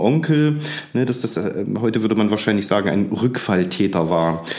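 A man talks in a room with audible echo. Noticeable background noise runs underneath. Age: 40s. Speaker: museum director and historian. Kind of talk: casual chat.

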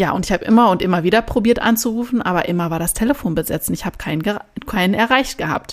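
Talking at a very fast pace, a woman barely pauses at all. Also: medium pitch for a woman, ordinary pitch variation. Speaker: podcast host. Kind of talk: solo podcast monologue.

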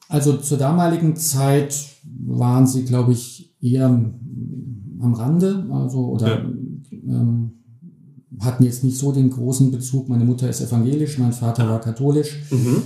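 A man's somewhat breathy voice with a dark, mellow tone at a fairly slow pace. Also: medium pitch for a man, ordinary pitch variation. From Germany, Hesse (Bergstraße, Heppenheim). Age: 50s. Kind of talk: interview.

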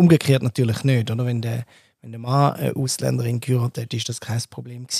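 The sound is dry and close, with no echo. A man's tone comes across dark and mellow. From Switzerland. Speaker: podcast host. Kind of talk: casual discussion.

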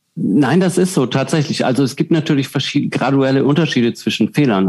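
A man with medium pitch talks at a fairly quick pace with lively intonation. There is noticeable background noise. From southern Germany. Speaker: professional juggler and keynote speaker. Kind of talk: interview.

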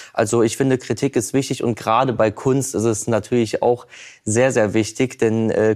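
A man's medium-pitched voice in a flat monotone. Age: 20s. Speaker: painter. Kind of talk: talk show interview.

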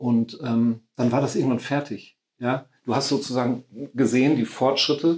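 With a plain, everyday voice, a man speaks at a medium pitch, keeping fairly even intonation and very even loudness. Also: moderate pace. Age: 50s. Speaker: caretaker at a meditation house, charity founder. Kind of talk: casual interview.

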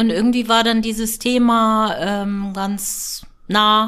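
Very slowly, a woman speaks with a fairly high pitch. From northern Germany, near Hamburg. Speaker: gynecologist. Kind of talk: interview.

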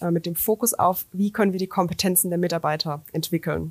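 A woman in a plain, everyday voice talks fairly quickly at a medium pitch with ordinary pitch variation, her sound dry and close with no echo on a very clean recording with a silent background. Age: 30s. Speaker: business coach and startup founder. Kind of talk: interview. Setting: studio in Karlsruhe.

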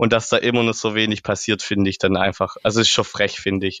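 With a Swabian accent, a man talks at a very fast pace. His fairly low voice stays monotone and flat. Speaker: trail builder. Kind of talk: casual interview. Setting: podcast.

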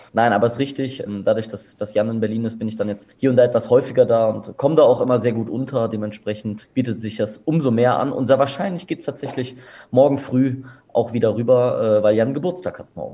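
A man's medium-pitched, somewhat breathy voice with a dark, mellow tone, ordinary pitch variation and a fairly quick pace. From Germany, Bonn. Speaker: event organizer. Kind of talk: interview. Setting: office. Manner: calm.

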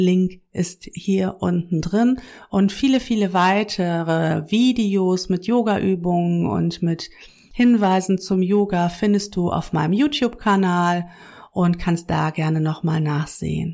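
The voice has a dark, mellow tone, ordinary pitch variation, very even loudness and a very slow pace. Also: woman, medium pitch for a woman. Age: 40s. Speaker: yoga teacher and podcast host. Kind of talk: casual monologue. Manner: conversational with many fillers.

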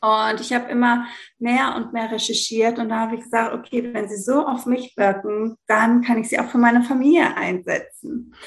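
Speaking at a fairly high pitch and a moderate pace, a woman keeps her intonation fairly even. This is a normal speaking voice. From Greece. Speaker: yoga teacher and essential oil consultant. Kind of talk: interview. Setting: remote recording at home indoors.

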